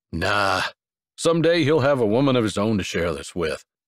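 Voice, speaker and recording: A man does a raspy, put-on character voice with a medium pitch and very wide pitch swings. He talks at a moderate pace in a very clean recording with a silent background. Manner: amused, playful, humorous.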